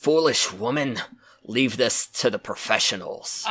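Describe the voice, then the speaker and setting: Growling in a put-on character voice, a man speaks fairly slowly at a medium pitch with lively intonation. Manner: yelling, scolding, condescending.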